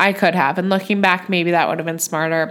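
A woman talks at medium pitch. Her tone is animated. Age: 20s. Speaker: nurse and podcast host. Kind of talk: casual chat.

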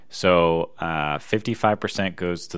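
A man speaks in a bright, sharp tone marked by vocal fry. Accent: American. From US Northeast, Philadelphia area. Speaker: podcast co-host. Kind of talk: casual chat. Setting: home recording.

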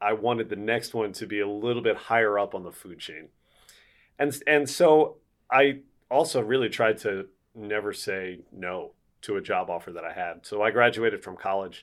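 A man with a plain, everyday voice and an American accent talks at a moderate pace and medium pitch, with ordinary pitch variation and big swings in loudness, on a very clean recording with a silent background. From Philadelphia, US. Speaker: baseball play-by-play broadcaster. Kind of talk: interview.

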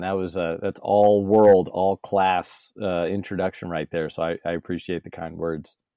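On a very clean recording with a silent background, a man with an American accent speaks at a moderate pace in a very deep, low pitch, with a dark, mellow tone, monotone, flat intonation and a dry, close sound with no echo. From San Diego, California. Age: 30s. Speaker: podcaster and former broadcaster. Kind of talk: interview.

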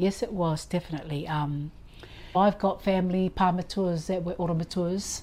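A woman speaks at a moderate pace in a fairly low pitch. Her tone is dark and mellow, and her intonation fairly even. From Cook Islands (Rarotonga). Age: 60s. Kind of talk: personal faith testimony.

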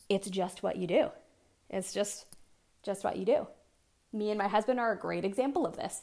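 A woman with an American accent talks at a moderate pace, with long, frequent pauses and vocal fry. Her medium-pitched voice has a dark, mellow tone and ordinary pitch variation. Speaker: fitness coach and podcast host. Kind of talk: casual solo monologue. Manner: animated.

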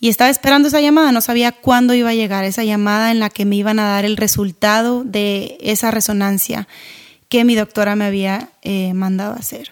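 A woman speaks at a moderate pace with fairly high pitch and fairly even intonation. Hers is an ordinary speaking voice. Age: 30s. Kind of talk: devotional podcast talk.

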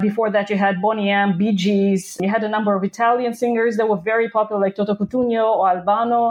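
Very fast and with hardly any pauses, a woman speaks in a Russian accent at a fairly high pitch. Her intonation is monotone and flat, and her loudness is very even. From southern Russia (Krasnodar). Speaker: professor. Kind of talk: interview.

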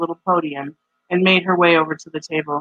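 A woman talks at a very fast pace in a fairly low voice. Her intonation stays fairly even. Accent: American. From Michigan, US Midwest. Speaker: podcast host and writer. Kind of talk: casual chat.

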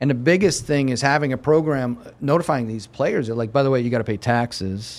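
With an American accent and an ordinary speaking voice, the speaker talks at a fairly quick pace on a very clean recording with a silent background. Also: man. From Erie, Pennsylvania. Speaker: sports agent. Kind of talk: interview. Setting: studio.

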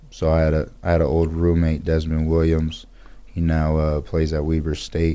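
A man's very deep, low, dark and mellow voice with an American accent, monotone and flat in intonation, at a moderate pace, with audible room echo. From Pasadena, California. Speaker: professional football player. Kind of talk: interview.

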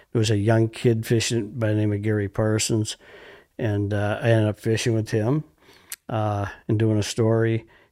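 With a Wisconsin accent, a man speaks in a fairly low, dark, mellow tone at a moderate pace. His intonation is monotone and flat, and the recording is very clean with a silent background. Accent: Upper Midwest (Wisconsin). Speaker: fishing guide. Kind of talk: casual chat.

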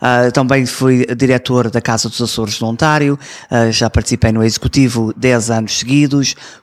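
The sound is dry and close with no echo as a man at medium pitch speaks at a moderate pace with fairly even intonation. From Toronto, Canada, to Azorean parents. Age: 20s. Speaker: community representative and TV presenter. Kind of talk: interview. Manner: hesitant, many fillers.

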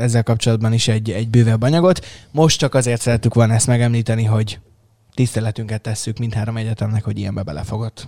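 A man's dark, mellow voice at medium pitch and a very fast pace, in a very clean recording with a silent background. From Hungary, Szeged. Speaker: tech podcast host. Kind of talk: casual chat. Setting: studio. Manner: animated.

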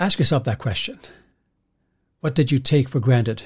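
A man's somewhat breathy voice comes across on a very clean recording, the background silent. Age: 50s. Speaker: pastor. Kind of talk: devotional podcast talk. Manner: halting, many repeated words and fillers.

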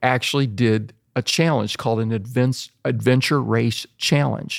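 A man with an unremarkable speaking voice talks at a fairly slow pace. The recording is very clean and silent in the background, with a dry, close sound and no echo. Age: 60s. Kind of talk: casual interview conversation.

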